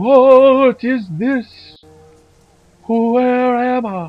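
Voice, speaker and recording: Soft-spoken and in a put-on character voice, a man talks at an extremely high pitch with faint music in the background. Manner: confused, disoriented.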